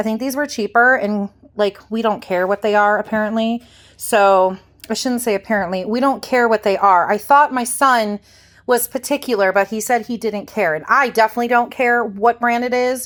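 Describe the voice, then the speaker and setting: A woman with a Midwestern US accent speaks at a moderate pace with a fairly high pitch and fairly even intonation, in a very clean recording with a silent background. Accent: US Midwest. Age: 40s. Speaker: lifestyle vlogger. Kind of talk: casual haul vlog. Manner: casual, rambling with fillers.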